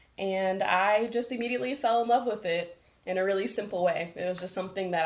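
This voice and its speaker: Audible room echo surrounds a woman talking at a moderate pace with ordinary pitch variation. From Las Vegas, US. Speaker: arts program manager. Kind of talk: interview.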